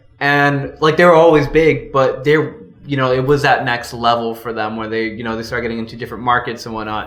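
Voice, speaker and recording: Amid audible room echo, a man at medium pitch talks at a very fast pace with ordinary pitch variation and big swings in loudness. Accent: American. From Los Angeles, US (born El Salvador). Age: 20s. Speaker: street artist. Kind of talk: casual interview chat.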